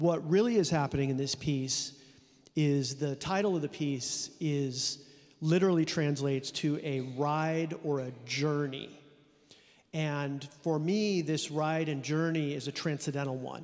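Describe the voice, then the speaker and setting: Fairly high in pitch, a man speaks at a fairly slow pace. His intonation stays fairly even. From California. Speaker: composer. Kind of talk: interview.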